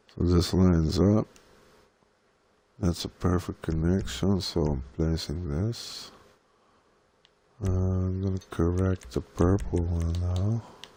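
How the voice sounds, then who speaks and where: A man mumbles in a very deep, low voice with a dark, mellow tone and fairly even intonation. He goes very slowly, with long, frequent pauses. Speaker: gaming content creator. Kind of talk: live tutorial. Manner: mumbling.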